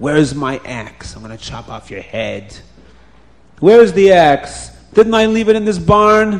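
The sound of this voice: A man's put-on character voice, high-pitched and slow, with lively intonation.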